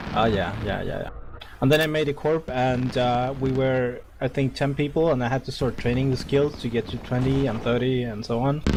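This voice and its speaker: A moderate pace and fairly even intonation beneath noticeable background noise. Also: man, medium pitch for a man. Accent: non-native. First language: not English. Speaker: gaming community leader. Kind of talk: speech to online gaming community. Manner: hesitant, many fillers.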